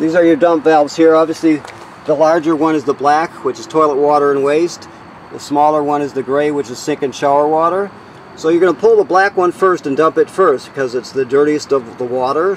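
Light background noise sits under a man talking at a fairly quick pace. His pitch varies in an ordinary way, and the sound is dry with no echo. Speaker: trailer walkthrough guide. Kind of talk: tutorial. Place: street. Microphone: phone near.

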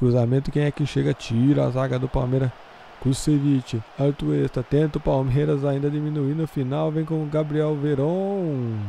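A man's fairly high voice, a normal speaking voice, with fairly even intonation at a moderate pace. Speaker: gaming channel commentator. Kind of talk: live sports commentary over a Football Manager match. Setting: recorded voiceover over game footage. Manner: conversational, filler-heavy, with a tacked-on 'né?'.

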